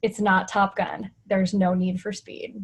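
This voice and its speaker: Her intonation stays fairly even, and the woman's voice is somewhat breathy. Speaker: nurse educator and media contributor. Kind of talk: webinar presentation. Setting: webinar. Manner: fast.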